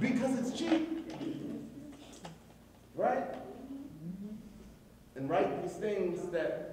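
A man's extremely high pitch with very wide pitch swings at a very slow pace, amid noticeable background noise and audible room echo. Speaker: poet. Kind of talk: live commentary to an audience. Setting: live venue. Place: hall. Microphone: camera far.

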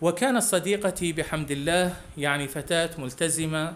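A man talks at a high pitch. The variation in his pitch is ordinary. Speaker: religious program presenter. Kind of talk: religious storytelling, reading a listener's testimony.

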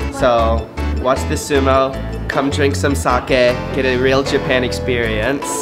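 A man speaking at a very slow pace over clear background music. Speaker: travel vlogger host. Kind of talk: casual vlog chat. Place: bar. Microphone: phone near.

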